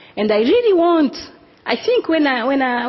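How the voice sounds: High pitch from a female speaker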